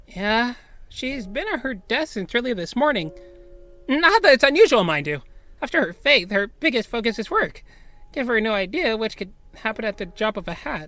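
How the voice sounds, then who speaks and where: A man's put-on character voice, pitched extremely high for a man. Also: moderate pace. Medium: audio drama. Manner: gentle, earnest.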